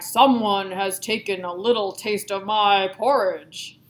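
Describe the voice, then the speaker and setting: In a put-on character voice, a woman speaks raspily at a medium pitch and fairly slow pace with fairly even intonation. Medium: read story.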